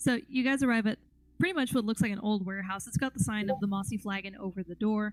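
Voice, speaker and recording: Music plays in the background as a woman talks at a very fast pace, her pitch fairly high with ordinary pitch variation. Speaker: game master. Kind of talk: tabletop role-play narration. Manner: quiet. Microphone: mic too close picks up mouth sounds.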